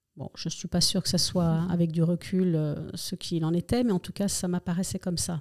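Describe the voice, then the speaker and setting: Fairly quick speech from a woman with a fairly low pitch, dry and close with no echo. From Spain, moved to France as a child. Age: 60s. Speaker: retired nurse. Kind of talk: personal testimony interview. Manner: hesitant, many fillers.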